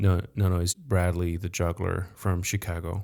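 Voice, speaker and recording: On a very clean recording with a silent background, a man speaks at a fairly slow pace in a very deep, low pitch with monotone, flat intonation. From France. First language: French. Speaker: podcast host, professional juggler. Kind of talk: podcast interview.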